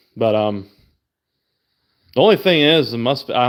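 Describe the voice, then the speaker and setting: A man talks with a normal speaking voice at a medium pitch. He keeps a moderate pace. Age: 30s. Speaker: car enthusiast streamer. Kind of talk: casual livestream chat. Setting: livestream. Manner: casual, profane.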